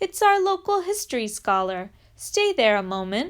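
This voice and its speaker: Putting on a character voice, a woman speaks high and at a moderate pace with very wide pitch swings. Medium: read story.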